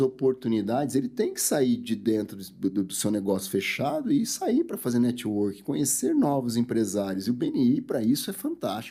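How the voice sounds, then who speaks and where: A man speaks at a moderate pace. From interior of São Paulo state, Brazil. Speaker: dentist. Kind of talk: sales pitch; interview.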